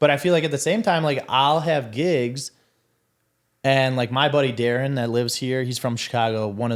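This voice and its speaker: Someone with a Milwaukee accent is heard in a very clean recording over a silent background. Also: man. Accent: Milwaukee Wisconsin. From Wisconsin, Milwaukee. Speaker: DJ and podcast executive producer. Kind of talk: casual interview chat.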